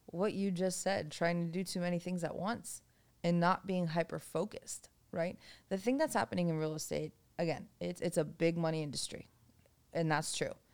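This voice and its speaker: Fairly even in intonation and moderate in pace, an unremarkable speaking voice carries an American accent. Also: woman, fairly low pitch for a woman. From Boston, US. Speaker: real estate developer and former restaurant owner. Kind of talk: casual interview chat.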